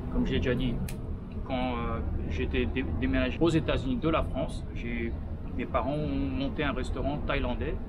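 Loud background noise sits behind a man speaking at a moderate pace. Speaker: food vlogger. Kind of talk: casual vlog chat. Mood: relaxed, cheerful. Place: street.

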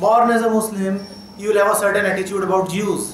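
A man with fairly even intonation, amid light background noise and audible room echo. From India. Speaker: spiritual teacher. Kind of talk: talk to students. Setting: college hall with audience.

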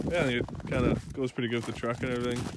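Over light background noise, a man speaks very fast in a monotone, flat intonation, the sound dry with no echo. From Canadian Prairies. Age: 20s. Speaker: YouTuber. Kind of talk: casual vlog. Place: open country. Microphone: phone near.

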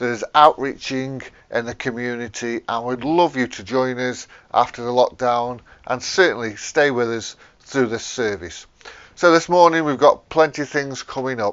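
Pitch shifts an ordinary amount while the delivery holds a moderate speed. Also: man, quiet background. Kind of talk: church welcome address. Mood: warm, friendly. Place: garden. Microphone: lapel.

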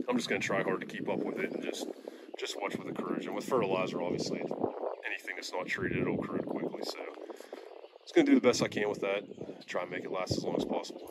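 A man rushes along at a very fast pace while loud background noise surrounds him. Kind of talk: casual equipment walkthrough. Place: farm machine. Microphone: phone near.

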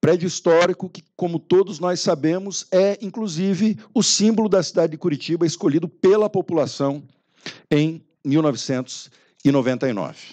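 Against a quiet background, a man with a high pitch and a dark, mellow tone speaks at a fairly slow pace, with ordinary pitch variation and big swings in loudness. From Brazil. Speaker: university rector. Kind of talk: formal speech at a meeting. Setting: meeting room with audience. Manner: formal. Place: hall.

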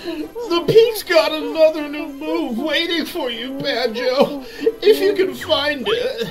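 A put-on character voice comes through high-pitched and whiny at a fairly slow pace. Background noise is clearly audible.

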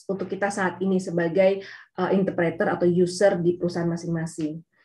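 The voice has a dark, mellow tone and is somewhat breathy, with a quiet background. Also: woman. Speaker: geophysicist speaker; speaker. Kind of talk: technical webinar presentation. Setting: video call. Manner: hesitant, many fillers. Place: home room. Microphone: webcam.

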